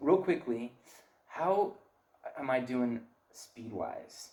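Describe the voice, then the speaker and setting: A man speaks with lively intonation and an animated tone. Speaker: parenting seminar speaker. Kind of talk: lecture. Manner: fast.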